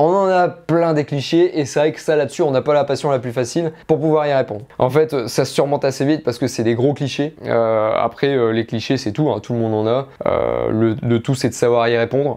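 A man talks at a fairly quick pace with hardly any pauses, his dark, mellow tone showing ordinary pitch variation against a quiet background. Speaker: shooting sports youtuber. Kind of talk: casual q&a video. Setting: home studio. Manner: hesitant, many fillers. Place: home room. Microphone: lapel.

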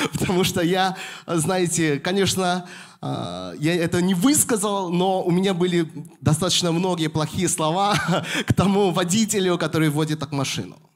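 The speaker talks at a moderate pace. The background is quiet. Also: man, high pitch for a man, fairly even intonation. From Moscow, Russia. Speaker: pastor. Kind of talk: sermon. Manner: halting, with frequent fillers. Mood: warm, smiling, animated. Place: church. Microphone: handheld.

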